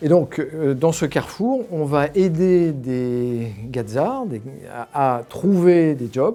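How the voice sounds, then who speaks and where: At a very slow pace, a man talks with lively intonation and a fairly high pitch. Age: 60s. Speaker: alumni association volunteer leader, former company executive. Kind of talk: interview. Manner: hesitant, many fillers and repetitions.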